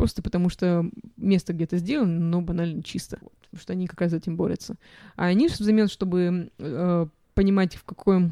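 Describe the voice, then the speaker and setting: A woman talks at a fairly quick pace with a fairly low pitch, a dark, mellow tone and fairly even intonation. Her loudness swings widely, and the sound is dry and close with no echo. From Russia. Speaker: physicist, PhD student. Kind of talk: interview. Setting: studio.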